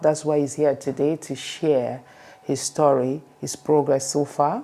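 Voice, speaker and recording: With an African accent, a woman talks at a moderate pace in a dark, mellow tone and a very deep, low pitch. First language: African language. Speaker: podcast host. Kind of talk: interview.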